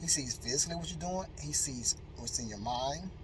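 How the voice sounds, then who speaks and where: Over noticeable background noise, a man speaks in an animated tone at a moderate pace. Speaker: motivational speaker. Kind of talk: motivational talk.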